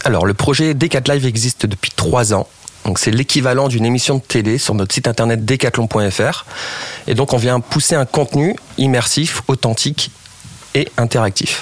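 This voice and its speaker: Over noticeable background noise, a man at medium pitch speaks at a moderate pace with ordinary pitch variation and very even loudness. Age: 30s. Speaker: digital live-shopping project lead. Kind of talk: radio interview.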